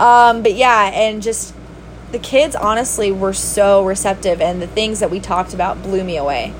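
Noticeable background noise surrounds a woman at medium pitch. She uses ordinary pitch variation at a moderate pace. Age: 30s. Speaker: podcast host and substitute teacher. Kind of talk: casual monologue. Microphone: no microphone, basic built-in recording.

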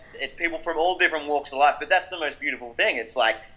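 In an Australian accent, a man talks with a bright, sharp tone. His pitch is fairly high with ordinary variation. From South Australia, Adelaide. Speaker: rock musician. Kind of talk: interview.

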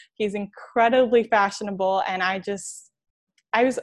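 Against a quiet background, a woman speaks in a normal speaking voice at medium pitch with ordinary pitch variation. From New York. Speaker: athletic communications graduate assistant. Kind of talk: interview.

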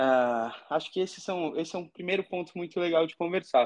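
Against a quiet background, a man with a high pitch and ordinary pitch variation speaks at a moderate pace. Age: 30s. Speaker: startup founder. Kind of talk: podcast interview.

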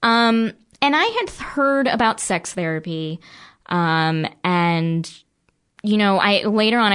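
A woman speaks in a normal speaking voice with lively intonation against a quiet background. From New Jersey, near Philadelphia. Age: 30s. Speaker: podcast guest. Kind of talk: personal testimony.

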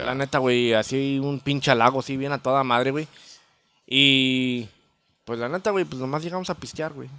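Here a man speaks at a medium pitch in a bright, sharp tone. His pace is moderate and his pitch varies in an ordinary way. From Chicago North Side. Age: 30s. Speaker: banda musician. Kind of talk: casual chat.

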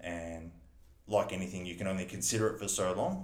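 A man speaks with an Australian accent at a fairly quick pace. His voice is very deep and low, with audible room echo. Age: 30s. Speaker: business owner and council candidate. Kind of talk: casual interview.

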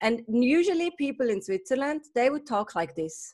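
A woman's sing-song, put-on character voice in a Swiss German accent. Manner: sing-song intonation.

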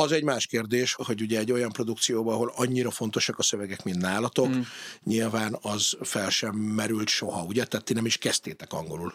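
With ordinary pitch variation, this man has a plain, everyday voice at a medium pitch. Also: fairly quick pace. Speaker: podcast host. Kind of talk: casual interview.

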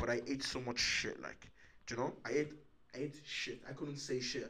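A man at a moderate pace, flat and monotone in intonation, with audible room echo. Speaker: podcast host. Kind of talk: casual chat.

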